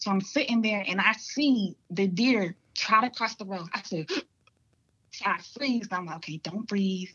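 A woman's normal speaking voice with an American accent, medium pitch, ordinary pitch variation and a fairly slow pace. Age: 20s. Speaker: hunter. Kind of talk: casual chat.

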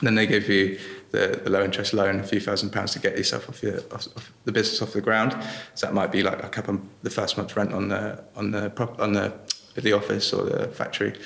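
A man rattles along at a very fast pace while noticeable background noise fills the clip. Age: young. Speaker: salt producer and entrepreneur. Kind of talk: interview. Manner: halting.

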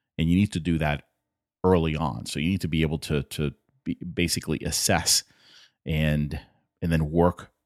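The intonation is monotone and flat, in a very clean recording with a silent background and a dry, close sound with no echo. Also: man. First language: not English. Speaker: podcast host. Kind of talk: solo podcast monologue.

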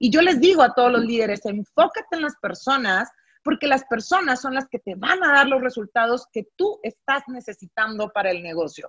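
Very wide pitch swings run through this voice with a northern Mexican accent. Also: woman, high pitch for a woman, moderate pace, dry, close sound with no echo. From northern Mexico, Monterrey. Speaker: business coach. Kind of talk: casual interview.

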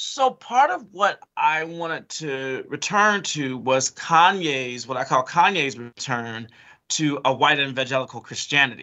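Fairly slow and fairly high-pitched, a man speaks in an ordinary speaking voice with an American accent. His pitch variation is ordinary. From Chicago. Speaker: professor. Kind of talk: interview.

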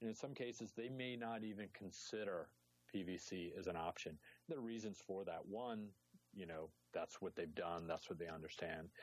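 With a plain, everyday voice, a man speaks at a moderate pace and fairly low pitch, with ordinary pitch variation and very even loudness. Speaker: water industry analyst. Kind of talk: casual chat.

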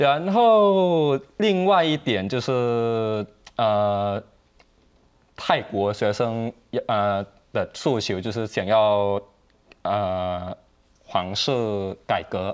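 This man, with a Thai accent, talks at a medium pitch with lively intonation and a very slow pace. Long, frequent pauses break up his speech against a quiet background. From Thailand. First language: Thai (speaking Chinese). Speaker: Thai student activist. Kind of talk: TV panel discussion. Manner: hesitant, many fillers.

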